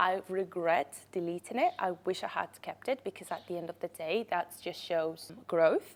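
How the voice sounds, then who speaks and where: A woman speaks at a medium pitch. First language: Spanish. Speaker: podcast host, content creator. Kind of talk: casual monologue, storytelling.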